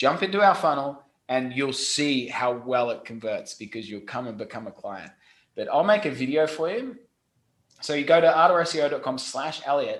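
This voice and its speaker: A man with an Australian accent and a fairly high pitch. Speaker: SEO company CEO. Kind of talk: podcast interview. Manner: animated.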